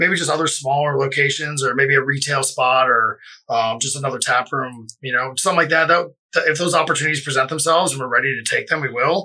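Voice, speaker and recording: A man with an American accent talks at a very fast pace. His fairly high voice has a bright, sharp tone and ordinary pitch variation. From Florida (Boca Raton). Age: 30s. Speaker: brewery co-owner. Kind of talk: casual interview. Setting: studio.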